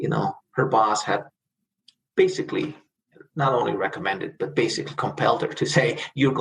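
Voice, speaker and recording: At a fairly quick pace, a man talks with a Spanish accent. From El Salvador (San Salvador), then Los Angeles from age 12. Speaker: corporate lawyer, immigrant. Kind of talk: interview, personal life story.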